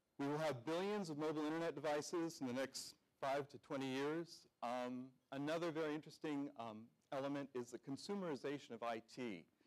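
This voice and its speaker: A man talks at a fairly quick pace with ordinary pitch variation while music plays in the background. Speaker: conference presenter. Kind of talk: keynote presentation. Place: hall.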